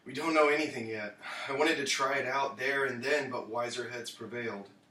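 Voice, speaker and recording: A man's raspy put-on character voice at a medium pitch and fairly quick pace, with audible echo. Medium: audio drama.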